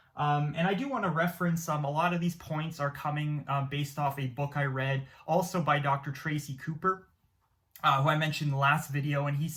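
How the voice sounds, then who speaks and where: A man's fairly high, monotone voice at a fairly quick pace, in a very clean recording with a silent background. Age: 20s. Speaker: YouTuber. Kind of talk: casual vlog monologue. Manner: hesitant, many fillers.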